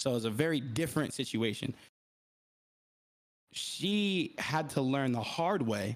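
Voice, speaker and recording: A man speaks at a fairly slow pace with long, frequent pauses, his medium-pitched voice carrying lively intonation. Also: very even loudness. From US South, Atlanta area, Georgia. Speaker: podcaster. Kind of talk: casual chat. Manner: halting, self-correcting.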